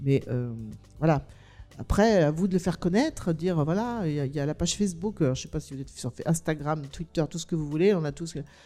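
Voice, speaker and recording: An animated woman with a very deep, low pitch, a fairly quick pace and ordinary pitch variation, with music in the background. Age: 60s. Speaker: documentary filmmaker and author. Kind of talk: panel discussion. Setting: stage with audience.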